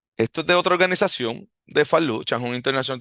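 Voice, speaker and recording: In a Puerto Rican accent, a man talks with lively intonation over a quiet background. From Puerto Rico. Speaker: martial arts instructor, podcast host. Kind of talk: podcast monologue. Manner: halting.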